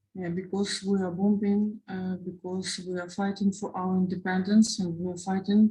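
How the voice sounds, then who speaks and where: A woman speaks at a moderate pace and medium pitch in a dark, mellow tone that is somewhat breathy. Her intonation stays flat and monotone. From Ukraine. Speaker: war refugee, mother. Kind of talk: testimony. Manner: halting, many hesitations.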